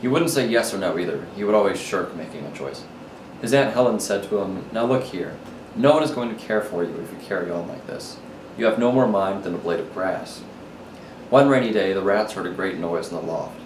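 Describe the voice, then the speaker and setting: A man talks at a fairly quick pace and a fairly low pitch, with lively intonation and big swings in loudness. There is noticeable background noise. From New Orleans, Louisiana. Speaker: college student. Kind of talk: story reading.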